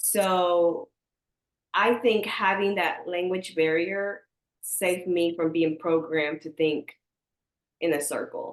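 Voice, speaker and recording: In a Spanish accent, a woman with a fairly low voice speaks at a very slow pace with long, frequent pauses. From US, small conservative country town, Mexican mother. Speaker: entrepreneur, social media creator. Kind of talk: podcast interview. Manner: animated.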